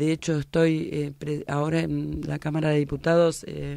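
A woman talks in a dry sound with no echo. The background is quiet. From Argentina, La Plata; Argentina. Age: 50s. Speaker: political activist; guest. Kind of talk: radio interview. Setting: radio studio. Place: studio. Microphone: studio mic.

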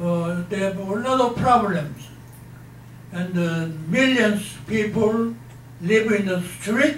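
A man's high-pitched voice with audible room echo and light background noise. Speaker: speaker. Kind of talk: talk or interview answer. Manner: aged, halting elderly voice. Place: hall.

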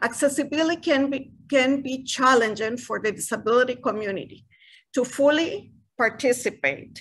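A woman with a Spanish accent speaks at a moderate pace in a high voice. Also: ordinary pitch variation. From Costa Rica. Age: 60s. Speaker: retired university director. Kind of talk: panel presentation. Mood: formal, appreciative. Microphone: video call.

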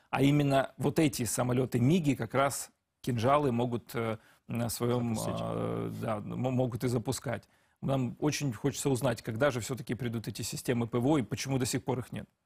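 Delivered at a moderate pace with fairly even intonation, the voice has vocal fry against a quiet background. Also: man, medium pitch for a man. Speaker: TV news presenter. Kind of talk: TV news interview. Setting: studio. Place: studio.

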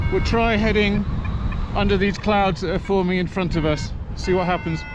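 Recorded with a dry sound and no echo but noticeable background noise, a man speaks at a moderate pace with ordinary pitch variation. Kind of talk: radio talk with teammates. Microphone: helmet.

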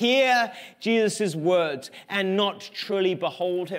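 Against a quiet background, a man with a high voice speaks using lively intonation. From England. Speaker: pastor. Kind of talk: sermon. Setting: church. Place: stage.

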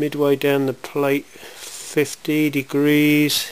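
Speaking at a very slow pace, a man of medium pitch has a fairly bright tone.

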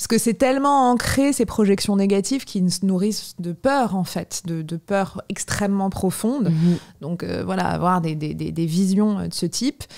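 A woman talks fairly slowly with lively intonation against a quiet background. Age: 30s. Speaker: philosophy teacher and author; philosophy teacher. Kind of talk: casual chat. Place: home room. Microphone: studio mic.

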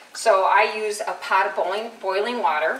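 Audible room echo surrounds a woman who speaks at a fairly slow pace. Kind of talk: tutorial. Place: kitchen. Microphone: camera far.

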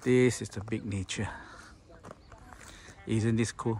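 Over light background noise, a man talks at a fairly slow pace with a fairly low pitch and a dry sound with no echo. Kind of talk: property tour commentary. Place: garden. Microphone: phone near.

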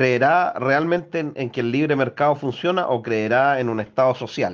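Against a quiet background, a man with a Chilean accent speaks fairly slowly at medium pitch with lively intonation. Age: 40s. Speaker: political commentator. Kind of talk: political commentary monologue. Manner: halting.

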